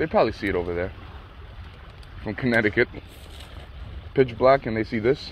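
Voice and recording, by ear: A man speaks at a moderate pace with a fairly low pitch and lively intonation.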